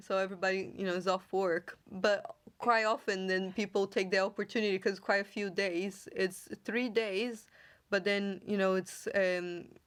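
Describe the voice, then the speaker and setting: A woman's medium-pitched voice with a Brazilian accent, moderate pace and flat, monotone intonation, on a very clean recording with a silent background. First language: Portuguese. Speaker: podcast host. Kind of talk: casual chat.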